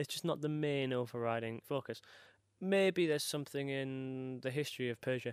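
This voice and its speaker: A man with an unremarkable speaking voice talks fairly quickly at medium pitch with ordinary pitch variation, on a very clean recording with a silent background and a dry, close sound with no echo. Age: 20s. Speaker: PhD student and comedian. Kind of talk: stand-up. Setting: stage with audience.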